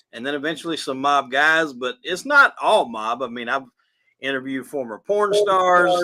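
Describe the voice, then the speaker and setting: A man speaks in a fairly high pitch with a bright, sharp tone and ordinary pitch variation. It is a very clean recording with a silent background. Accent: Southern US. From South Carolina. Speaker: podcast host, guest. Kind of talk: casual interview chat.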